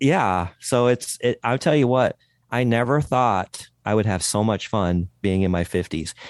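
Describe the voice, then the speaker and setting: Against a quiet background, a man uses an ordinary speaking voice at medium pitch with lively intonation. The sound is dry and close with no echo, and his pace is fairly slow. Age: 50s. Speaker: podcast host, guest. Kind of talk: interview podcast.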